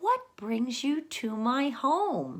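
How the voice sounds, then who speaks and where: Putting on a character voice, a woman speaks high and warm, her pitch swinging very widely. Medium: read story. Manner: warm, hospitable.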